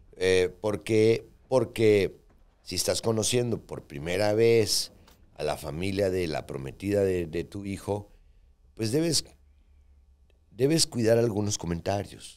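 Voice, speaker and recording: Very slow male speech broken by long, frequent pauses. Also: lively intonation. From Mexico. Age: 60s. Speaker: podcast co-host and businessman. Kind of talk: casual chat. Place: studio. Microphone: studio mic.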